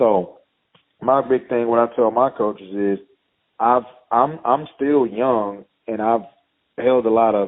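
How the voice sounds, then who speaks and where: A man with a Texan accent talks at a fairly slow pace with long, frequent pauses. His pitch is medium and his intonation fairly even. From East Texas. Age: 30s. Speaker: high school football head coach. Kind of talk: interview.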